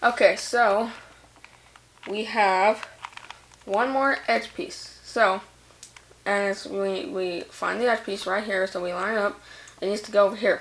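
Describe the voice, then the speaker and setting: The speech moves at a fairly slow pace with big swings in loudness. Noticeable background noise runs underneath. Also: woman, medium pitch for a woman. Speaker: hobbyist video tutor. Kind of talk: tutorial. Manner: halting.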